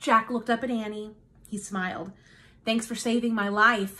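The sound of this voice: The speaker reads in an unforced reading voice with fairly even intonation.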